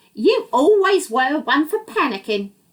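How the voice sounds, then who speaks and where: At a moderate pace, a female-sounding voice puts on a character voice, pitched high with very wide pitch swings. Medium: read story. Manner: calm, knowing.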